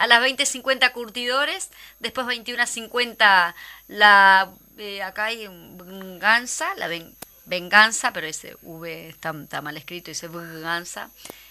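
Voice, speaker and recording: A woman's bright, sharp voice at a medium pitch, very slow, with lively intonation and big swings in loudness. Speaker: radio co-host and actress. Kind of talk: casual chat.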